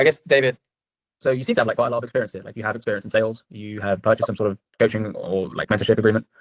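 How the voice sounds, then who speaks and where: A man with an English accent talks at a very fast pace and a medium pitch. His intonation stays fairly even while his loudness swings widely. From England. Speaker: sales closer, coaching student. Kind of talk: casual chat reviewing a sales call; sales call.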